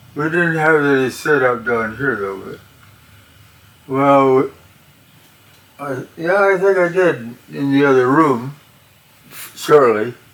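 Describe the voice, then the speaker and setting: A man speaks at a very slow pace, his pitch fairly high with ordinary variation. Long, frequent pauses break his speech over noticeable background noise. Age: 80s+. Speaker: amateur radio operator. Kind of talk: interview. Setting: at home. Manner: halting.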